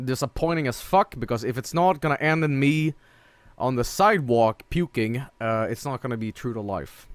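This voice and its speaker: With a Swedish accent, a man talks at a moderate pace and medium pitch with lively intonation, the sound dry and close with no echo. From northern Sweden. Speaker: streamer. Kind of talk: gameplay stream commentary. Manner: animated.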